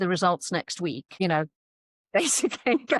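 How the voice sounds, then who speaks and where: At a fairly quick pace, a woman with a medium pitch and ordinary pitch variation speaks in a dry, close sound with no echo, on a very clean recording with a silent background. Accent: English. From England. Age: 60s. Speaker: horse trainer. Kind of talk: podcast interview.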